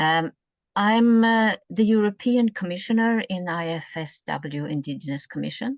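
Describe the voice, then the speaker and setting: Speaking at a moderate pace with a northern Sweden accent, this voice has lively intonation, recorded with a dry, close sound, no echo and a quiet background. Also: woman, medium pitch for a woman. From northern Sweden, Sami area. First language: Ume Sami. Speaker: social work professor. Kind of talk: webinar presentation.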